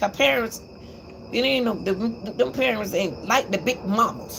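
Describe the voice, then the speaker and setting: Against noticeable background noise, a woman of medium pitch talks at a moderate pace with very wide pitch swings. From Atlanta, Georgia, US South. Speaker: YouTube commentator. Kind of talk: livestream commentary monologue.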